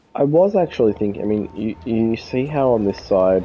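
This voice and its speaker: A man with an American accent speaks as music plays in the background. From Australia, Melbourne. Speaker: video game streamer. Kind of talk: gameplay commentary. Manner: hesitant, many fillers.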